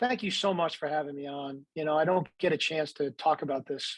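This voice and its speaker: A man's plain, everyday voice, fairly high in pitch, with fairly even intonation at a fairly quick pace, dry and close with no echo. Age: 60s. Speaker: baseball executive and TV analyst. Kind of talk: faith interview.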